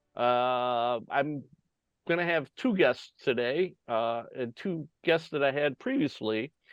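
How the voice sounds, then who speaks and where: Music plays in the background as a man with an American accent speaks. He goes at a very slow pace with lively intonation. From United States. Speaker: podcast host. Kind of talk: casual interview talk.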